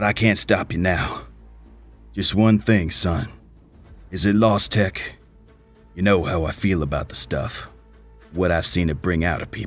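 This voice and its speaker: A man puts on a gruff character voice and speaks at a moderate pace. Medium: audio drama. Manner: gruff, profane.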